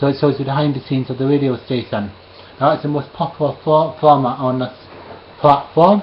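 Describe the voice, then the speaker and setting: There is noticeable background noise as a man speaks with a Scottish accent. His voice is fairly high, with fairly even intonation. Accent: Scottish, slightly toned down. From Scotland, Edinburgh. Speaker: live streamer. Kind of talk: casual monologue to camera. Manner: hesitant, with fillers.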